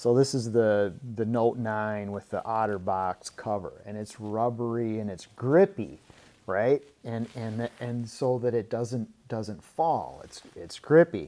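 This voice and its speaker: A man with an American accent speaks at a very slow pace in a dark, mellow tone, medium pitch and ordinary pitch variation, with big swings in loudness. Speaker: tool reviewer, YouTuber. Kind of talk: product review. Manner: enthusiastic; hesitant, many fillers and repeats.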